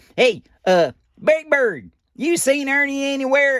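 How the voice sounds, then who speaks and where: Here is a put-on character voice pitched high. It goes at a fairly slow pace. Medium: read story.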